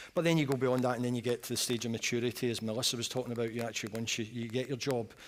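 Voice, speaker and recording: Talking at a very fast pace, a man at a medium pitch speaks with a Scottish accent. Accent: Scottish, noticeable. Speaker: energy industry executive. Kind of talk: panel discussion. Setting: conference stage, live broadcast.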